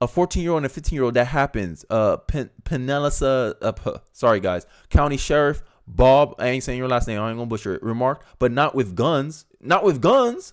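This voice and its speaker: On a very clean recording with a silent background, a man speaks at medium pitch and a fairly quick pace with ordinary pitch variation. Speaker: political commentator. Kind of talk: video commentary reacting to news, partly reading aloud. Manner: articulate, proper diction.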